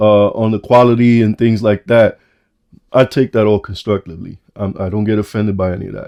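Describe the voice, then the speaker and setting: A man with a New York accent, dark and mellow in tone, at a fairly quick pace. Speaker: watch reviewer YouTuber. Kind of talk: product review vlog. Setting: home basement room. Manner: halting, repeating words.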